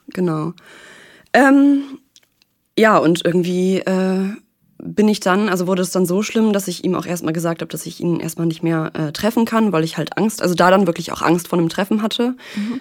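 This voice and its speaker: Moderate pace, ordinary pitch variation, and long, frequent pauses. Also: woman, medium pitch for a woman. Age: 20s. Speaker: podcast guest sharing a breakup. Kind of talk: personal interview. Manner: calm, composed; hesitant, many fillers.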